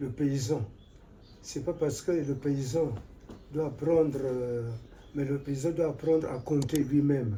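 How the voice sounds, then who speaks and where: A man at a fairly slow pace and fairly high pitch, with fairly even intonation, audible room echo and noticeable background noise. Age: 80s+. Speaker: retired forestry official. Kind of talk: interview. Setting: at his home.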